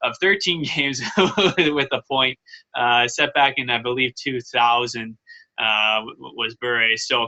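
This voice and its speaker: A man's voice sits at medium pitch with ordinary pitch variation. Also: fairly slow pace. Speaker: hockey podcast co-host. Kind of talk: casual sports chat. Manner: halting, stumbling over words.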